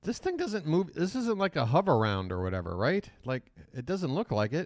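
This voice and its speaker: In a dry, close sound with no echo, a man with a fairly high pitch speaks at a moderate pace in an animated tone with very wide pitch swings. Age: 40s. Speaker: live-stream reaction commentator. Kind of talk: live reaction commentary.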